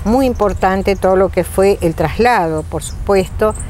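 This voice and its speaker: A woman is heard over noticeable background noise. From Argentina, Federación, Entre Ríos. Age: 70s. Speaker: interviewee, local resident. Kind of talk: interview testimony.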